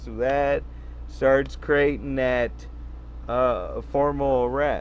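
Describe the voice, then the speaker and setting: A man speaks with audible room echo. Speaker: sovereign-citizen commentator. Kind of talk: reading aloud with commentary. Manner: halting, stumbles on words.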